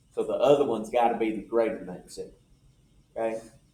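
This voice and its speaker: Moderate-paced speech comes through with audible room echo. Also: man. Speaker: math instructor. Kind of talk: lecture. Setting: classroom with students. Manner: stutters over some words.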